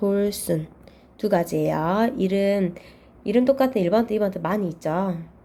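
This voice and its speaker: At a fairly slow pace, a woman speaks at a medium pitch with a dark, mellow tone. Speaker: Chinese character exam tutor. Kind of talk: lecture.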